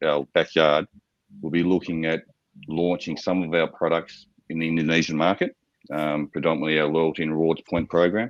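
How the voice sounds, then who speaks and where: A man with an Australian accent and a very deep, low pitch, fairly quick in pace, in a dry, close sound with no echo. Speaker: startup founder pitching to investors. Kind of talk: investor pitch Q&A. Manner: halting, with many fillers and repetitions.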